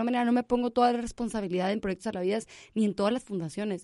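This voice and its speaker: A woman's fairly high voice in a dark, mellow tone, fairly even in intonation, with a dry, close sound and no echo. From Monterrey, Nuevo León, Mexico. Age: 20s. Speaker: animal rescue founder. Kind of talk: interview. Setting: studio.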